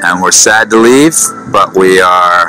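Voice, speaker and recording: A man at a moderate pace, dry sound with no echo, and clear music in the background. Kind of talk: casual vlog chat. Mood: cheerful, a bit wistful. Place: waterside. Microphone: phone near.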